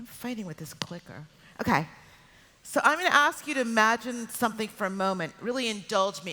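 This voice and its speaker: A woman with an American accent uses a normal speaking voice at a fairly high pitch. Her intonation is lively. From United States. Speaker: PR executive. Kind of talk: keynote talk. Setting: stage with audience.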